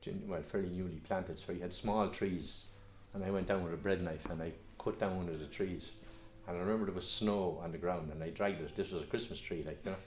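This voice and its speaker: In a Kildare Irish accent, the speaker goes at a very fast pace with fairly even intonation and audible room echo. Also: man, very deep, low pitch for a man. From Ireland, Curragh Camp, Co Kildare. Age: 70s. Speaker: local historian. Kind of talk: reminiscence interview. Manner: halting, many repetitions and fillers.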